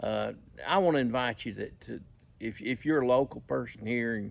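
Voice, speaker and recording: A man with a Southern US accent at a moderate pace, on a very clean recording with a silent background. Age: 60s. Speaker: vlogger. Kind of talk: casual chat. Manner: halting, many repetitions and fillers.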